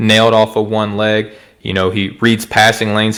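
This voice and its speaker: Talking at a moderate pace, a man with an Arkansas accent has a fairly low pitch. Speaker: podcast co-host. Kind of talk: casual sports chat.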